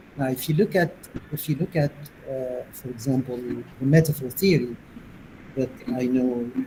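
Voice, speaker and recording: A man with a Tunisian accent and ordinary pitch variation. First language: Tunisian Arabic. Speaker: linguistics professor, plenary speaker. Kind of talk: academic Q&A discussion.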